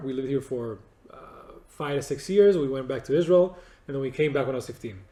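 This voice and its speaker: This man's voice has a dark, mellow tone, a fairly high pitch, and ordinary pitch variation. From Spain. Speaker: video producer. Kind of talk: interview. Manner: halting.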